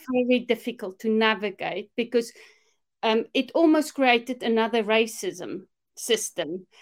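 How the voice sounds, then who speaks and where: With a South African accent, a woman with a fairly high pitch speaks at a fairly slow pace with ordinary pitch variation and very even loudness, on a very clean recording with a silent background. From South Africa, Afrikaner. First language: Afrikaans. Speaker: minister and discipleship mentor. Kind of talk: casual interview chat.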